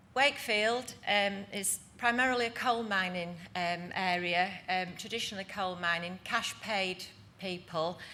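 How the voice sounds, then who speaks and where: A woman with a bright, sharp tone, medium pitch and ordinary pitch variation, fairly slow pace, audible room echo. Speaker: housing association director. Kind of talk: conference presentation.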